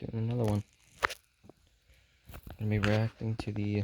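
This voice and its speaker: A man with a fairly low pitch speaks at a fairly slow pace in a somewhat breathy voice. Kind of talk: casual talk to camera, reaction video.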